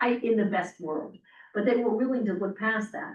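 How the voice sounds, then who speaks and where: Her voice has a somewhat breathy quality. The woman speaks fairly quickly. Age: 60s. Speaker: real estate agent trainer. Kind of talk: casual group discussion.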